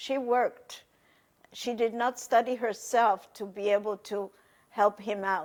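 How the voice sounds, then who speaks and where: A woman with a Polish accent and a fairly high pitch, at a very slow pace, in a very clean recording with a silent background. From Poland, Warsaw. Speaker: Holocaust survivor. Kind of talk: testimony.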